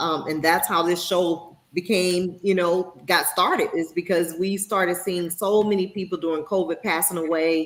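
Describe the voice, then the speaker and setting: Using a plain, everyday voice, a woman talks at a moderate pace in a fairly low pitch with fairly even intonation. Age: 50s. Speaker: talk show host. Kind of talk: casual talk show discussion.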